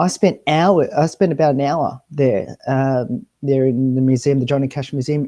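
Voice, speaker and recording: The man's tone is dark and mellow. He talks with an Australian accent. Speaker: travel show presenter. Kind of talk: casual chat. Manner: hesitant, many fillers.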